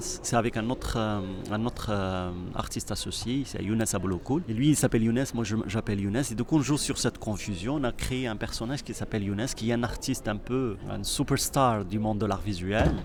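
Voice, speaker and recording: Noticeable background noise behind a man at a moderate pace, fairly low in pitch with ordinary pitch variation. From Morocco. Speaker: artist and choreographer. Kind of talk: interview. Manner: halting.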